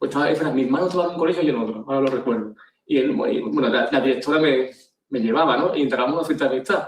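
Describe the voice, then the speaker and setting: The man's voice sits at a fairly high pitch. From Andalusia, Spain (Jaén, then Ayamonte, Huelva). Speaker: agency CEO, speaker. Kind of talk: conference talk. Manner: hesitant, repeats words.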